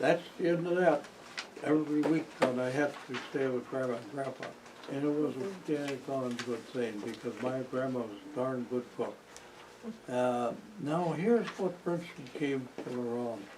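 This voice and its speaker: A man with an American accent, medium pitch, over noticeable background noise. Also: ordinary pitch variation, moderate pace. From Wisconsin. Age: 90s. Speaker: local elder interviewee. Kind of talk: oral history interview.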